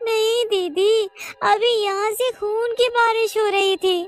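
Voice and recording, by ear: Music plays behind a woman doing a cartoonish character voice. She goes at a fairly slow pace with an extremely high pitch.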